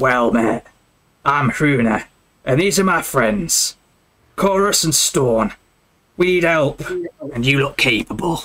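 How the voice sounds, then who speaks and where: Doing a raspy put-on character voice, a man speaks fairly slowly at a fairly high pitch, leaving long, frequent pauses. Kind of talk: old-fashioned fantasy speech.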